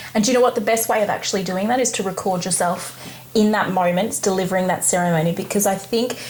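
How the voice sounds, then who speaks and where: A medium-pitched woman at a very fast pace, with fairly even intonation, very even loudness, and noticeable background noise. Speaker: wedding celebrant. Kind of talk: casual chat.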